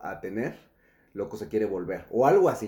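With a dark, mellow tone, a man talks at a fairly quick pace. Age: 30s. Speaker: entrepreneur, cryptocurrency expert. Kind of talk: casual interview.

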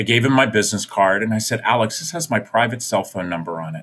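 Here a man with an American accent speaks at a medium pitch and a fairly quick pace. His intonation is lively, in a normal speaking voice. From US Mid-Atlantic (Maryland, Virginia, DC). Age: 50s. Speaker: nonprofit founder and foster care advocate. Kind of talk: interview storytelling. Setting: video call.

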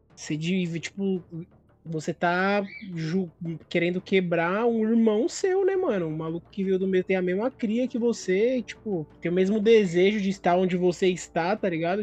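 Music plays in the background while the speech proceeds at a moderate pace. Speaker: podcast co-host. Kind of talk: casual chat.

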